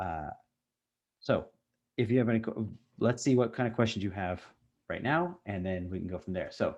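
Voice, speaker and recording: A man mumbles at a moderate pace, his pitch fairly low with ordinary variation. The background is quiet. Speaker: university instructor. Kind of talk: online lecture with Q&A. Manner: mumbling.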